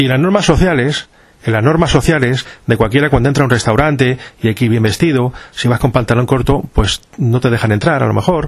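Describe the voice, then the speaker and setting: Against noticeable background noise, a man speaks at a very fast pace with a medium pitch. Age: 50s. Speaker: podcast host. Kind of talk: monologue to listeners.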